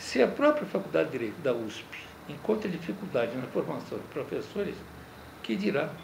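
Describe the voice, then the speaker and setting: Music plays in the background and room echo is audible as a man with a fairly high pitch speaks at a moderate pace. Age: 70s. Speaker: lawyer and law professor. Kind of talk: interview.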